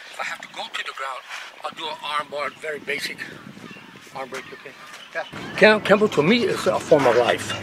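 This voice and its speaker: Lively intonation, big swings in loudness, long and frequent pauses, and noticeable background noise. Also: man, fairly high pitch for a man. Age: 60s. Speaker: martial arts master. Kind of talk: casual interview talk; demonstration. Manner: hesitant, repetitive.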